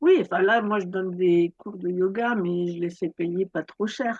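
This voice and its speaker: Her voice is at medium pitch with ordinary pitch variation as a woman speaks fairly slowly in a dry, close sound with no echo. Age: 60s. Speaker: yoga teacher and author. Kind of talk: interview. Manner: halting.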